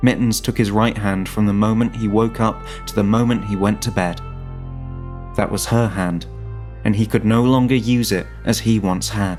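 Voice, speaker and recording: The speaker keeps a moderate pace while music plays in the background. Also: man. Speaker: narrator. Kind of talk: fiction story narration.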